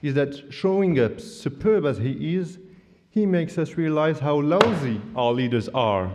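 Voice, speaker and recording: A man with a non-native accent speaks at a fairly slow pace in a fairly high pitch, making very wide pitch swings. Noticeable background noise and audible room echo fill the recording. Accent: average English accent, non-native. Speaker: student debater. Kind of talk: competitive debate speech. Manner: formal, humorous oratory.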